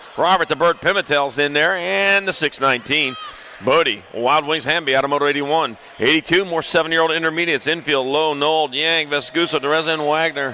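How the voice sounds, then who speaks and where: Amid noticeable background noise, a man at a fairly high pitch talks at a fairly quick pace, with ordinary pitch variation and very even loudness. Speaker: BMX race announcer. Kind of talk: live commentary. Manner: fast.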